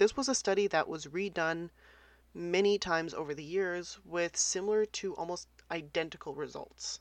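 Over a quiet background, a woman with an ordinary speaking voice and a fairly low pitch talks at a moderate pace with ordinary pitch variation. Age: 30s. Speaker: podcast host. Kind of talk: casual solo podcast talk.

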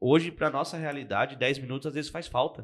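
In a plain, everyday voice, a man talks at a fairly quick pace with fairly even intonation over a quiet background. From Brazil, Arujá, São Paulo state. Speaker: automation company owner. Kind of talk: casual chat.

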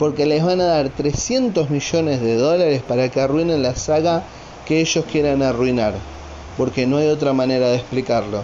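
Over noticeable background noise, a man with a Rioplatense accent talks at a moderate pace in a fairly high voice, keeping his loudness very even and his pitch varying normally. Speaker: podcaster. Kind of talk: casual monologue. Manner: animated.

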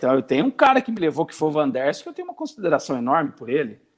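A man at a fairly high pitch and very fast pace, with a dry, close sound with no echo. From Brazil, interior of São Paulo state. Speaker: retired footballer. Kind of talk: interview.

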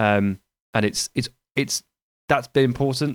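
A man talks with a southern English accent. The recording is very clean, with a silent background and a dry, close sound with no echo. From southern England (Hampshire). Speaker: football journalist and podcaster. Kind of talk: casual chat.

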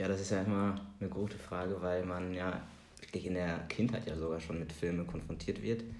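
A man speaks at a fairly quick pace with a very deep, low pitch. His intonation is fairly even, and audible room echo surrounds the voice. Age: 30s. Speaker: film podcast co-host. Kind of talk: casual chat.

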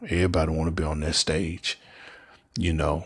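A somewhat breathy voice with an American accent against a quiet background. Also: man. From US South, Memphis, Tennessee. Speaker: podcaster and self-described preacher. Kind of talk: religious monologue. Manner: casual, repetitive with fillers.

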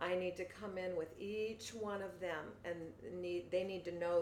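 Someone with an American accent speaks at a fairly slow pace. There is audible room echo. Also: woman. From US Pacific Northwest, Seattle. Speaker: fitness coach. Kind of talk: casual interview.

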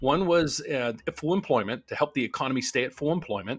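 In an American accent, a man with an unremarkable speaking voice and fairly high pitch talks at a fairly quick pace. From US Appalachia, West Virginia northern panhandle near Wheeling. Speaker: loan officer team leader, mortgage YouTuber. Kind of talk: casual live-stream Q&A.

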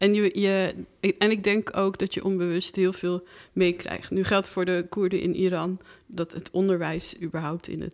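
The speech comes at a fairly slow pace in a monotone, flat intonation. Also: woman. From Netherlands. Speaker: filmmaker. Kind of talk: casual chat.

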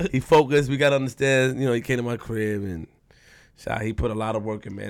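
The speaker talks at a very fast pace in a New York accent. The recording is very clean, with a silent background. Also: man. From Queens, New York. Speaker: podcast co-host. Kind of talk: casual interview.

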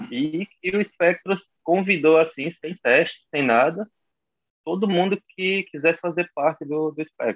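The man's voice sits at a high pitch with ordinary pitch variation. He speaks at a fairly slow pace. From João Pessoa, Brazil. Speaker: american football linebacker. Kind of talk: casual interview.

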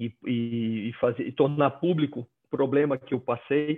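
A man speaks at a fairly high pitch. His pace is fairly slow and his intonation fairly even. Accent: northeastern Brazilian. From Brazil, Northeast (Maceió, Alagoas). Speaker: headhunter. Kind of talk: personal testimony in a live video chat. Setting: video call.

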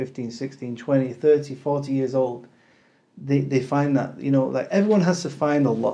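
With a dark, mellow tone, a man talks at a fairly slow pace in a medium pitch. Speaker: podcast host. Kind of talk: casual interview.

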